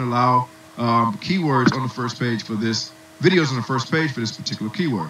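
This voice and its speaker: Noticeable background noise behind a man talking at a fairly quick clip. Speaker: online marketing instructor. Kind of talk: webinar tutorial. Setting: webinar with muted attendees. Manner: fast.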